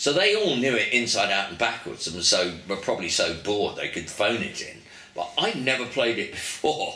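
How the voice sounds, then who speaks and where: Audible room echo and noticeable background noise accompany a man with an English accent speaking at a moderate pace. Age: 70s. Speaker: musician. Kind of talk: interview. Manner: animated storytelling.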